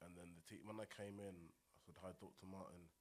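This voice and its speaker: A man speaks in a very deep, low voice with a Buckinghamshire accent. His intonation is monotone and flat. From High Wycombe, Buckinghamshire, England. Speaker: rapper. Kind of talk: casual chat.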